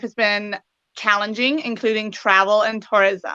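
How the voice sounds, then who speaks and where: A woman talks at a moderate pace with a fairly high pitch and a bright, sharp tone. Her intonation stays fairly even, and the sound is dry and close with no echo. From western Canada, British Columbia. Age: 20s. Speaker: pageant titleholder and preschool teacher. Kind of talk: interview.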